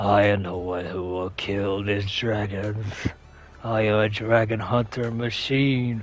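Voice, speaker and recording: Someone growls in a put-on character voice at a fairly slow pace. Background noise is clear. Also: man, fairly low pitch for a man. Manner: evil, menacing.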